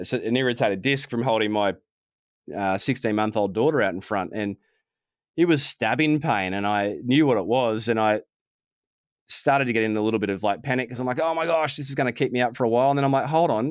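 In an Australian accent, a man speaks at a very fast pace with medium pitch and ordinary pitch variation, on a very clean recording with a silent background. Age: 40s. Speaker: sports physiotherapist. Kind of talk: interview.

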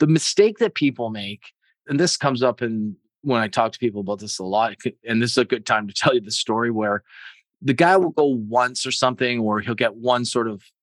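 In a Canadian accent, a man with an ordinary speaking voice and medium pitch talks at a fairly quick pace, with a dry, close sound, no echo and a quiet background. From Canada. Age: 60s. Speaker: sales executive. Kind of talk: interview.

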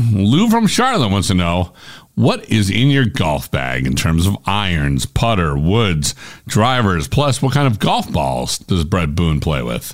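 This man's voice sits fairly low, shows vocal fry, and makes very wide pitch swings. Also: fairly slow pace. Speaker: podcast producer and announcer. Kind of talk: scripted narration.

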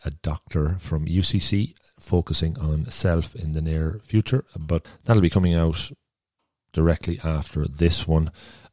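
A man speaks at a moderate pace in an extremely low, dark, mellow voice, the sound dry and close with no echo.

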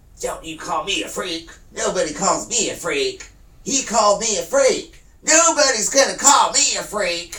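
Shouting in a put-on character voice, someone speaks at a moderate pace in a fairly high pitch with very wide pitch swings. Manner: screaming, indignant.

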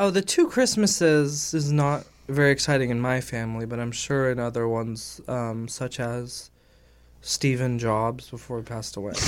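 Heard on a very clean recording with a silent background, a man with an ordinary speaking voice and an American accent talks at a moderate pace and medium pitch with ordinary pitch variation. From California. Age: 30s. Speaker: YouTuber. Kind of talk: casual chat.

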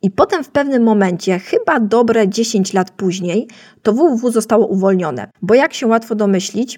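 A woman's fairly high, dark, mellow voice at a moderate pace with ordinary pitch variation. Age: 30s. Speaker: podcast host, web designer. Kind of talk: solo educational podcast.

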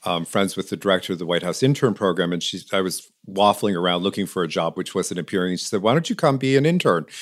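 With an American accent, a man speaks in an unremarkable speaking voice at a fairly low pitch. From western New York. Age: 50s. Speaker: ceramicist and lamp maker. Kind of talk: interview.

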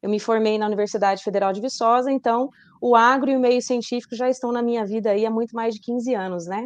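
A woman talks at a very fast pace in a fairly high voice. Her intonation stays fairly even. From Rondônia, Brazil. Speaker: journalist and science communicator. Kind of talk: interview.

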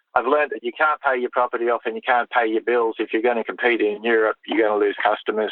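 A man with an Australian accent and monotone, flat intonation. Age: 50s. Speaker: show jumping rider and coach. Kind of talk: interview.

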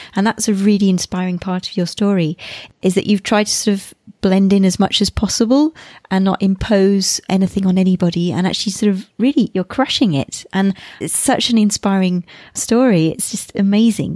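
A woman's dark, mellow tone at a fairly quick pace, ordinary pitch variation, dry and close sound with no echo. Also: medium pitch for a woman. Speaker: podcast host. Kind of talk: interview.

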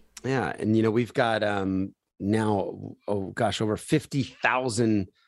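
On a very clean recording with a silent background, a man with an American accent talks at a fairly slow pace in an ordinary speaking voice with ordinary pitch variation. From US Northeast, Philadelphia. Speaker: charity founder. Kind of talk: interview.

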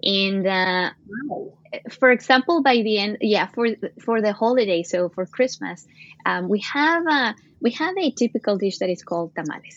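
With a Latin American accent, a woman talks at a moderate pace using lively intonation. She leaves long, frequent pauses. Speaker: supply chain executive. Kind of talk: casual interview. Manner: halting, many fillers.

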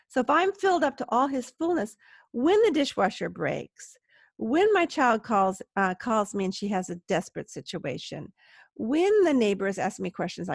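A woman speaks at a moderate pace with very wide pitch swings. The sound is dry and close with no echo, and the background is quiet. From US, Southern California. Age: 60s. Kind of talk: interview conversation. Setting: remote call from home.

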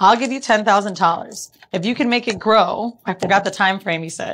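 With an American accent, a woman speaks in a plain, everyday voice at medium pitch, ordinary pitch variation and a fairly quick pace. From Florida (Orlando). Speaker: entrepreneur and podcaster. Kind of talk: casual chat.

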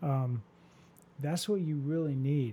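Speaking at a moderate pace, a man has a fairly high, somewhat breathy voice with a dark, mellow tone. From US Southwest desert. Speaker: fire chief. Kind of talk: casual interview.

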